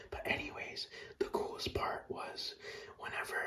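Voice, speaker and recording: A man whispering at a moderate pace, with noticeable background noise. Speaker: ASMR creator. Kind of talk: ASMR whispered talk about video games. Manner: casual, nostalgic, profane storytelling.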